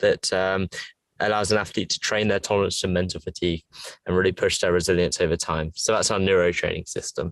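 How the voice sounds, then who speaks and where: A man with an English accent at a very fast pace, in a dry, close sound with no echo against a quiet background. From England. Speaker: fitness tech entrepreneur. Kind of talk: interview.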